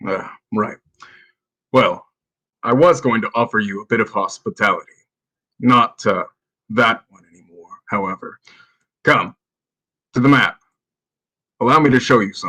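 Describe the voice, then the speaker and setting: Using a put-on character voice at medium pitch, a man speaks at a moderate pace with big swings in loudness and long, frequent pauses, in a dry, close sound with no echo. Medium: actual play. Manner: haughty, condescending.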